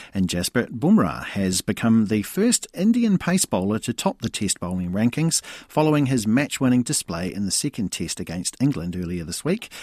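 This man talks at a moderate pace with a New Zealand accent. His pitch swings very widely, and the sound is dry and close with no echo. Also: medium pitch for a man. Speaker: sports news presenter. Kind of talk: news reading, brisk and crisp bulletin delivery. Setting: radio studio. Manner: formal; fluent, even-paced.

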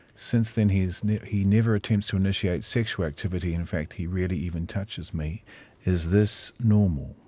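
This man has a very deep, low voice with a dark, mellow tone and a New Zealand accent. He talks at a fairly quick pace with fairly even intonation on a very clean recording with a silent background. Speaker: radio host. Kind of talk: live radio talk show. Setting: studio.

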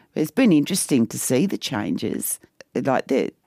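In an Australian accent, a woman with a very deep, low pitch and a dark, mellow tone speaks at a moderate pace with very wide pitch swings, in a dry, close sound with no echo. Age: 60s. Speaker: mother of a transgender son. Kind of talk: personal storytelling.

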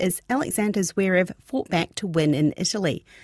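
A woman speaks at medium pitch with a New Zealand accent and ordinary pitch variation. The recording is very clean, with a silent background.

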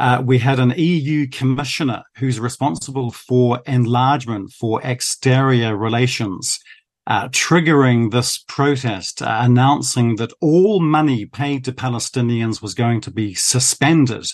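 A man's medium-pitched voice at a fairly slow pace, with ordinary pitch variation, hardly any pauses, and a quiet background. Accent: New Zealand. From New Zealand. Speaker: foreign correspondent. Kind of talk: news interview.

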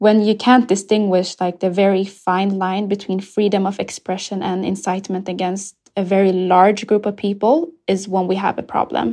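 This woman's tone is dark and mellow, at a medium pitch with fairly even intonation. She keeps a moderate pace with hardly any pauses. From Ethiopia, raised in Sweden from age 7. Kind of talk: interview.

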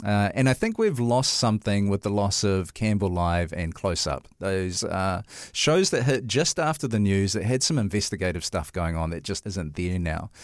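A man with a New Zealand accent speaks at a moderate pace in a fairly low pitch with lively intonation, on a very clean recording with a silent background. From New Zealand, Tokoroa. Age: 40s. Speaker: podcast host, church minister and chaplain. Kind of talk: casual interview chat. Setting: studio.

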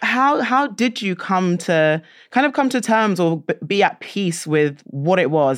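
Fairly slow speech from a woman at a fairly low pitch, with very wide pitch swings and a quiet background. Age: 20s. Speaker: podcast host. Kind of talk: interview.

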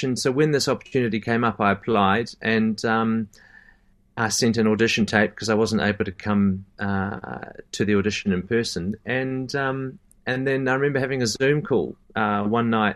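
Speaking with a New Zealand accent, a man keeps a medium pitch and fairly even intonation. His pace is moderate, and the background is quiet. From Christchurch, New Zealand. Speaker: professional singer. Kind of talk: casual interview chat. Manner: hesitant, filler-heavy.

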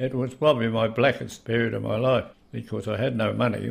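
With a New Zealand accent, a man speaks at a moderate pace. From New Zealand, Canterbury (Lyttelton). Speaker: retired waterfront worker and historian. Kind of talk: interview testimony.

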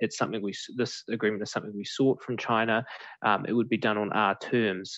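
Speaking at a fairly quick pace in a New Zealand accent, a man keeps a monotone, flat intonation at a fairly low pitch over a quiet background. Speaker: political reporter. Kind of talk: interview. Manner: hesitant, many fillers.

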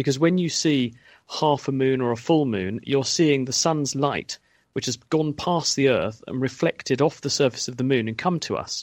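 The speaker talks at a moderate pace with a British accent and ordinary pitch variation. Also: man. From UK. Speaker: science expert. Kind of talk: radio Q&A explanation.

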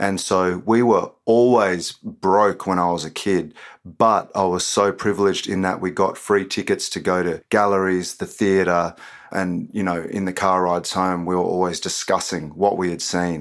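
In an Australian accent, a man with a very deep, low voice speaks at a moderate pace in a monotone, flat way. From Queanbeyan, Australia. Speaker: poet and author. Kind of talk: interview with poetry performance.

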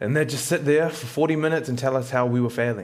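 A man speaks at a fairly quick pace in a New Zealand accent. His pitch varies in an ordinary way. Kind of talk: casual chat.

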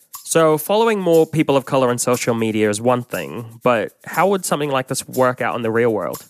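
A man's medium-pitched voice with lively intonation, fairly quick pace and hardly any pauses, dry and close with no echo, over music in the background. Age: 30s. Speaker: podcast co-host. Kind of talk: documentary-style podcast narration and chat.

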